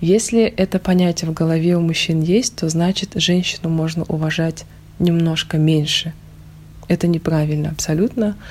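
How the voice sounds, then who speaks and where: A somewhat breathy woman speaking at a moderate pace, fairly low in pitch, with fairly even intonation and very even loudness. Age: 30s. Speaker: stylist and university employee. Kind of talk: interview.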